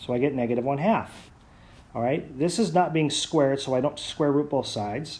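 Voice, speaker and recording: The room echo is audible as a man talks at a moderate pace. His tone is dark and mellow, with ordinary pitch variation. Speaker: math teacher. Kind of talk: lecture.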